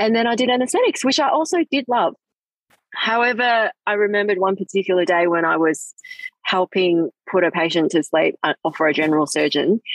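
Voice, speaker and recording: A woman speaks at a fairly quick pace, her loudness very even. Her pitch swings very widely. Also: medium pitch for a woman. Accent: Australian. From Hong Kong. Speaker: plastic surgeon. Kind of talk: casual interview chat. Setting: outdoors, sitting on a swing in a park, on a video call.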